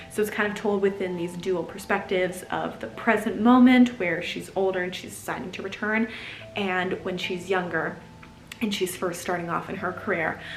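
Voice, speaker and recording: With audible room echo and noticeable background noise, a woman talks at a moderate pace at medium pitch with ordinary pitch variation. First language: German. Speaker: book vlogger. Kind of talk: casual book review vlog. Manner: animated.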